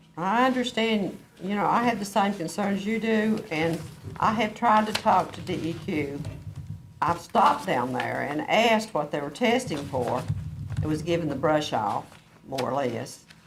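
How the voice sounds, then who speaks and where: The speaker has an Appalachian accent and talks at a moderate pace. Noticeable background noise runs underneath. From southwest Virginia. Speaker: county supervisor. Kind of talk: public hearing discussion. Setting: county board meeting room with audience.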